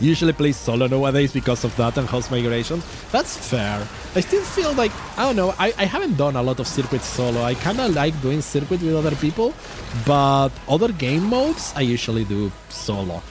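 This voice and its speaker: A man with a Spanish accent, fairly high in pitch and fairly quick in pace, amid noticeable background noise. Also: very even loudness. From Uruguay. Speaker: vtuber streamer. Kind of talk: casual game stream chat. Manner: halting, repeats words.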